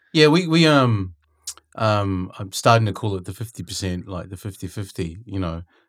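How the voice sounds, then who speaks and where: With a New Zealand accent, a man with a fairly low pitch talks at a moderate pace. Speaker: podcast host and music mentor. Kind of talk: casual interview chat. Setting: studio.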